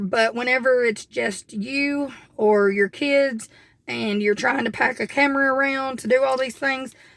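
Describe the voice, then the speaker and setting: In an Appalachian accent, a woman speaks with fairly even intonation. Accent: Southern US (Appalachian). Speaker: homestead vlogger. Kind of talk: casual vlog talk.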